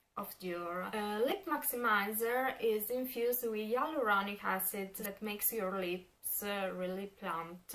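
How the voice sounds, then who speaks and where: Fairly slow speech from a woman with an Italian accent, medium pitch and ordinary pitch variation, against noticeable background noise. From Italy. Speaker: beauty vlogger. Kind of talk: product review. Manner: halting, many fillers.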